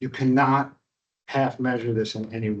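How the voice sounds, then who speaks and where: A man with a New York accent at a moderate pace, with ordinary pitch variation. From upstate New York. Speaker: kung fu teacher. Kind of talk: workshop talk. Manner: casual, conversational.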